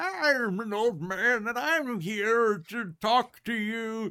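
A put-on character voice sits at a fairly high pitch. The pace is very slow.

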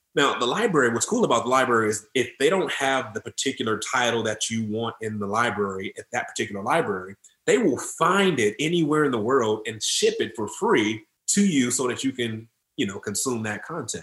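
A man with an American accent uses a normal speaking voice at a fairly quick pace, with a medium pitch and lively intonation. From Detroit, Michigan, US. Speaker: mortgage and finance professional. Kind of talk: podcast interview.

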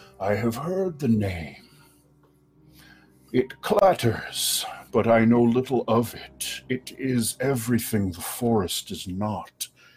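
At a fairly slow pace, a man does a put-on character voice at a medium pitch. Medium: actual play. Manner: slow, formal, measured.

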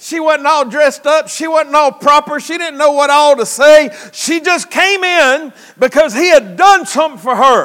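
With a Southern US accent, a man speaks at an extremely high pitch and a moderate pace in an animated, bright, sharp tone with ordinary pitch variation. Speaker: preacher. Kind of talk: sermon. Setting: church. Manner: folksy, joking, interactive with the congregation; animated, exhorting, preaching cadence.

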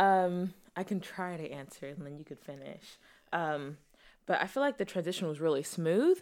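Heard on a very clean recording with a silent background, a woman with an unremarkable speaking voice talks at a moderate pace in a fairly low pitch, with lively intonation and big swings in loudness. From Texas, born in Zimbabwe. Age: 20s. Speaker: newlywed wife. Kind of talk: casual chat.

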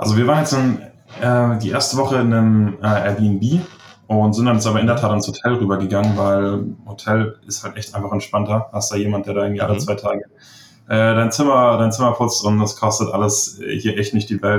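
This is an ordinary speaking voice with fairly even intonation at a moderate pace. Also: man. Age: 20s. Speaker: online seller. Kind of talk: interview.

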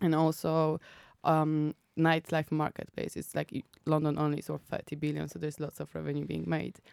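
Speaking at a fairly quick pace with a Polish accent, a woman is heard on a very clean recording with a silent background. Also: dry, close sound with no echo. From Poland. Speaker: app founder. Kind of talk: interview.

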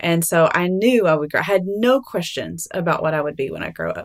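A woman with a Southern US accent, fairly low in pitch, at a fairly quick pace with lively intonation. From Alabama. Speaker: writer and mother. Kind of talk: interview.

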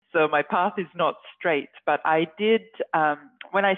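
Someone speaks at a moderate pace with an Australian accent. The pitch moves in an ordinary way. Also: woman. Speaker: scientist. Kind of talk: interview.

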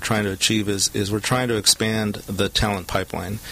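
A man talks at a moderate pace in a fairly low, monotone voice. Noticeable background noise runs underneath. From Southern California. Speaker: HR executive. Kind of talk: interview. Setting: studio.

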